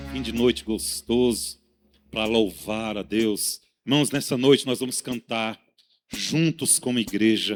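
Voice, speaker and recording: Music in the background behind a man of medium pitch, lively intonation and a fairly slow pace. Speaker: worship leader. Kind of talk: worship leading. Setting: church. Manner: animated, exhorting.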